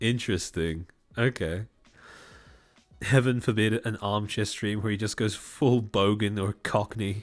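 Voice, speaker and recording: A man's fairly low voice at a fairly slow pace, fairly even in intonation, with long, frequent pauses and music in the background. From Australia. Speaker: vtuber streamer. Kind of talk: casual live stream chat. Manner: articulate presenter voice.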